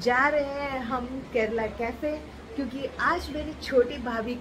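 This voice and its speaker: Noticeable background noise sits under this woman's speech. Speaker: family vlogger. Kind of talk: casual vlog chat. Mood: cheerful festive.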